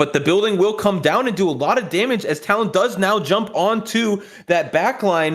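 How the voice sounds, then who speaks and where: A high-pitched man's voice with ordinary pitch variation and very even loudness. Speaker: esports commentator. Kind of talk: live commentary. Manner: fast.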